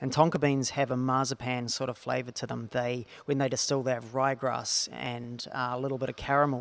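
Speaking in a New Zealand accent, a man talks at medium pitch and a moderate pace. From New Zealand (small town). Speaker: distillery co-founder. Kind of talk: casual interview.

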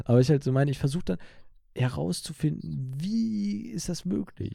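Dark and mellow in tone, a man speaks at a moderate pace with very wide pitch swings. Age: 20s. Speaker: podcast host. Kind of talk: casual chat. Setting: video call.

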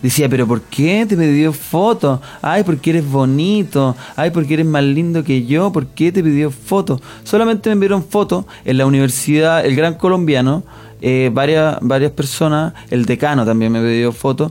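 A man's normal speaking voice, fairly high in pitch, at a moderate pace, with lively intonation and very even loudness. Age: 20s. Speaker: comedian. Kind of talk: comedic radio banter. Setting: studio.

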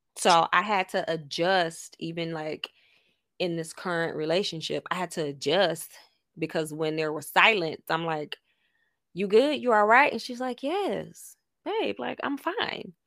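A woman with a normal speaking voice and a fairly low pitch speaks with an American accent at a fairly slow pace. The recording is very clean, with a silent background. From Miami, Florida. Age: 30s. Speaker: podcast co-host. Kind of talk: casual chat.

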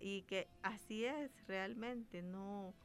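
This is a plain, everyday voice, a woman at medium pitch with ordinary pitch variation. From El Salvador, Ahuachapán. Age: 30s. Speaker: doctor. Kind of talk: radio interview.

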